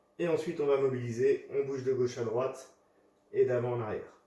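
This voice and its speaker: A man with a medium pitch speaks at a fairly quick pace in a dark, mellow, somewhat breathy tone. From US Midwest (South Dakota). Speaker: fitness coach. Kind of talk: workout tutorial. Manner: instructive, paced.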